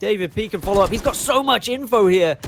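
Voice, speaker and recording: This man speaks with a British accent and lively intonation. His pace is fairly quick. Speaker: esports caster. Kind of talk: live commentary. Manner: fast.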